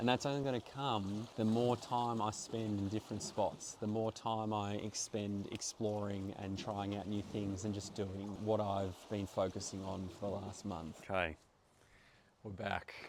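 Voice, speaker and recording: With an Australian accent, a man speaks at a fairly slow pace in a fairly low pitch and fairly even intonation. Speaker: travel vlogger and actor. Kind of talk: casual vlog reflection. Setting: outdoors in a backyard.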